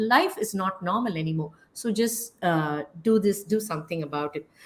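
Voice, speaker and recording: A woman speaks at a medium pitch and a moderate pace. Her voice is somewhat breathy, with lively intonation. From India. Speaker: health YouTuber. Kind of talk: casual interview chat.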